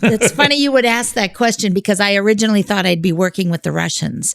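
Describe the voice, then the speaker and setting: A woman's medium-pitched voice with lively intonation at a fairly quick pace. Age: 60s. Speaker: refugee volunteer. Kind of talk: interview. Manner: halting.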